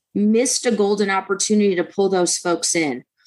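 With an American accent, a plain, everyday voice goes at a moderate pace with ordinary pitch variation. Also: woman. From Detroit, Michigan. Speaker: political candidate. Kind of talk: radio interview.

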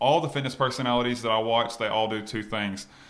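There is noticeable background noise as a man talks at a very fast pace. His pitch is medium, with fairly even intonation. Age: 20s. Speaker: fitness trainer and clothing line owner. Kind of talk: casual interview chat.

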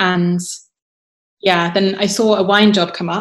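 A woman with a southern English accent speaks at a medium pitch in a monotone, flat intonation. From southern England, south of London. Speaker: wine writer and winemaker. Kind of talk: casual interview chat.

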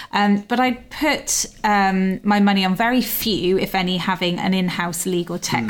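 At a moderate pace and with hardly any pauses, a woman talks in an ordinary speaking voice, her pitch medium with ordinary variation and her loudness very even. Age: 40s. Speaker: podcast host, legal news editor. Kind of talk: interview.

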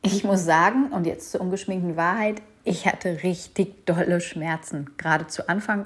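The woman's voice is somewhat breathy and fairly low in pitch. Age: 30s. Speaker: podcast host, mother. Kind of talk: personal monologue podcast.

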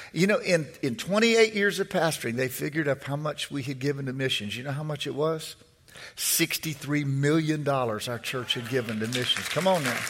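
Lively intonation marks a man's fairly high voice, delivered at a moderate pace. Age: 60s. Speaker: preacher. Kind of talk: fiery sermon, preacher in full flow with call-and-response. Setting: church with congregation. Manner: repeats words and phrases while building momentum.

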